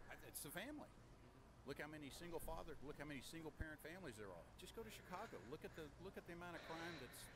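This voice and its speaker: A man at a fairly high pitch with vocal fry, very fast pace and lively intonation, amid audible room echo. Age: 60s. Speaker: interviewee at gun conference. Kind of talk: street interview.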